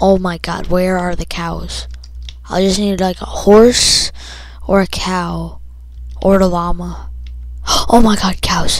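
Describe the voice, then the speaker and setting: Speech comes at a very slow pace with long, frequent pauses over noticeable background noise. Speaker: gaming YouTuber. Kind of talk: gameplay commentary. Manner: casual, rambling with fillers.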